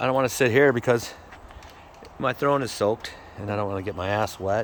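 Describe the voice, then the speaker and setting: Amid noticeable background noise, a man with a fairly low pitch speaks at a fairly quick pace with ordinary pitch variation. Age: 60s. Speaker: cannabis grower vlogger. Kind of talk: casual chat. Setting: outdoors. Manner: halting.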